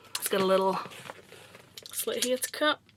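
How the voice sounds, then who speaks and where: A woman speaks in a relaxed tone at a fairly high pitch, with ordinary pitch variation. Noticeable background noise runs behind her. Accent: Yorkshire. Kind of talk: casual unboxing talk to camera. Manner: chatty, relaxed.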